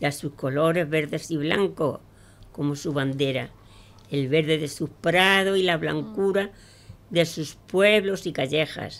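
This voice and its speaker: Speaking at a fairly slow pace, a woman with a fairly low pitch and ordinary pitch variation talks in an Andalusian accent. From Andalusia, Pozoblanco (Córdoba). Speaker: amateur poet. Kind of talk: poetry reading; casual radio chat. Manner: halting. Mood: warm, recitative. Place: studio. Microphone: studio mic.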